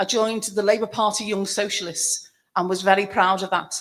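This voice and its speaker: A woman with a Liverpool accent talks at a medium pitch on a very clean recording with a silent background. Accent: Liverpool (Scouse). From Liverpool, England. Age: 60s. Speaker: pensioners' campaigner and political activist. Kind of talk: rally speech.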